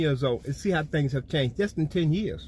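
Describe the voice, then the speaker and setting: Against a silent background, a man's voice comes through on a very clean recording. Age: 60s. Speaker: spiritual storyteller. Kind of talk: personal testimony. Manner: casual, conversational.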